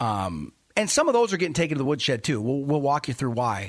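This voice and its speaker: Against a quiet background, a man with a fairly high voice talks fairly quickly in an animated tone, his pitch swinging very widely. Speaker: finance radio host and investment officer. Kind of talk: radio show monologue. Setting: radio studio.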